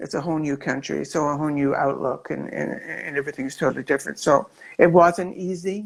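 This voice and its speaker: Vocal fry runs through a woman's very deep, low voice. She speaks at a fairly quick pace with ordinary pitch variation. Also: very clean recording, silent background. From Scotland. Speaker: performer. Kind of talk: interview.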